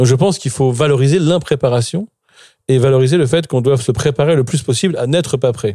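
A man speaks very fast with a dark, mellow, somewhat breathy tone. His medium pitch shows ordinary variation, and his loudness stays very even. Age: 40s. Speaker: philosopher and writer. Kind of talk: interview.

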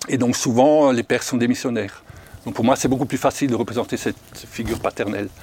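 Ordinary pitch variation and a fairly quick pace in a man's unremarkable speaking voice of medium pitch. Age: 60s. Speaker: foster parent with a conversion testimony. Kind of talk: testimony.

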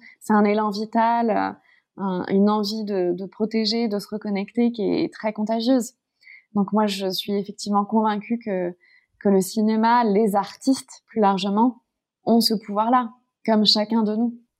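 On a very clean recording with a silent background, a woman speaks at a fairly high pitch and a fairly slow pace. Her intonation stays monotone and flat. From Paris, France. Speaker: climate campaign founder. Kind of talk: interview conversation.

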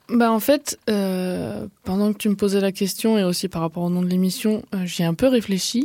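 A woman talks at a moderate pace with ordinary pitch variation on a very clean recording with a silent background. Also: medium pitch for a woman, hardly any pauses. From southwest France (Gers). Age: 20s. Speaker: artist and collective co-founder. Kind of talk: interview. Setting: radio studio.

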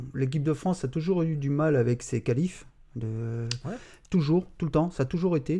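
Over a quiet background, a man with a fairly high pitch, a dark, mellow and somewhat breathy tone, and ordinary pitch variation speaks at a moderate pace. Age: 50s. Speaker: job-integration supervisor, football fan. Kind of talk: casual podcast interview.

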